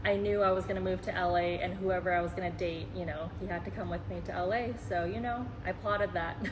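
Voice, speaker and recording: A woman with an American accent at a very fast pace, hardly any pauses, audible room echo and noticeable background noise. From Laos/Thailand, then Seattle from age seven. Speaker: travel vlogger, marketer. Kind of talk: casual chat.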